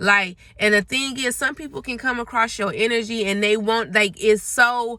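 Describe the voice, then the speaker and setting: A woman with an American accent speaks at a moderate pace in a fairly high pitch, with ordinary pitch variation and a bright, sharp tone. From Memphis, Tennessee, US South. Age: 30s. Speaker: vlogger. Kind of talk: casual monologue vlog. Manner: stutters at times.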